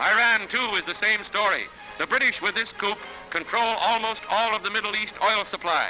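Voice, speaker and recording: A man with a high-pitched voice speaks at a moderate pace and with fairly even intonation while music plays in the background. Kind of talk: newsreel narration.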